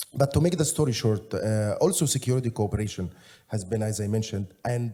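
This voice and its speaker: In an Egyptian accent, a man speaks very fast at a medium pitch, his voice somewhat breathy. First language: Egyptian Arabic. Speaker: panelist. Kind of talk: Q&A answer. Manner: halting.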